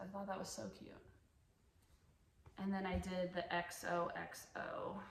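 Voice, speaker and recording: A woman talks at a fairly slow pace. Noticeable background noise and audible room echo are present. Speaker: cross-stitch vlogger. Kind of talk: casual show-and-tell vlog. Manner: halting, self-correcting.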